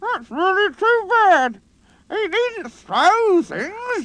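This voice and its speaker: An extremely high, squeaky put-on character voice at a very slow pace. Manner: indignant, complaining.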